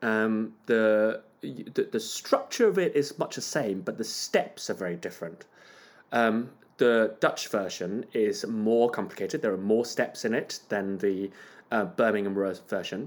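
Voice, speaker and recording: A man speaks fairly slowly at medium pitch with a Cantonese accent and ordinary pitch variation. The recording is very clean, with a silent background. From Hong Kong. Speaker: conductor. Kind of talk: interview.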